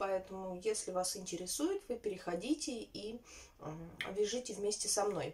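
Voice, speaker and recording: Ordinary pitch variation runs through the woman's moderate-paced speech. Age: 30s. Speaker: knitting vlogger; vlogger. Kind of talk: casual vlog chat. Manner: halting, many filler sounds. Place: home room. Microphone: phone near.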